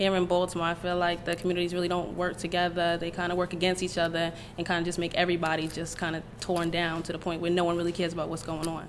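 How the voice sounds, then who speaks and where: A woman with a New York accent, fairly low pitch, very fast pace, hardly any pauses and monotone, flat intonation. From New York, Queens. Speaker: interviewee. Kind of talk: interview.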